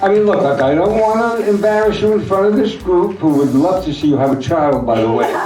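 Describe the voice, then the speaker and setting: Over background music and audible room echo, a high-pitched man with an American accent speaks at a fairly quick pace with lively intonation, very even loudness and hardly any pauses. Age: 70s. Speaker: comedian. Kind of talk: stand-up.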